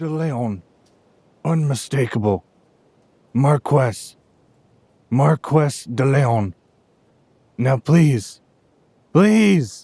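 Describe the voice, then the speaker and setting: A man puts on a character voice at a medium pitch with lively intonation. He goes at a very slow pace with long, frequent pauses. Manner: weak, halting, pleading.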